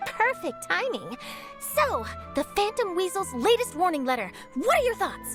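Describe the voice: A woman does a cartoonish character voice at an extremely high pitch, with big pitch swings, a fairly bright tone and a moderate pace, while faint music plays in the background.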